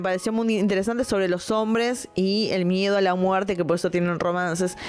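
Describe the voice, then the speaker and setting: A woman speaks with a plain, everyday voice at a medium pitch and ordinary pitch variation. She talks at a fairly quick pace, with very even loudness and hardly any pauses. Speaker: film critic podcaster. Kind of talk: casual film review monologue.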